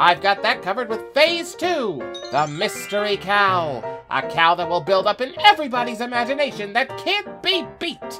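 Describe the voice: A put-on character voice at a fairly high pitch with very wide pitch swings and a moderate pace, over clear music in the background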